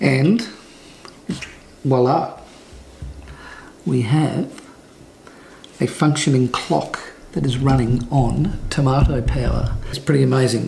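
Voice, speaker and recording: With light background noise, a man talks at a very slow pace in an Australian accent. He leaves long, frequent pauses. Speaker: photographer vlogger; family vlogger. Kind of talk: casual vlog. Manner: soft-spoken. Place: home room. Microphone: phone near.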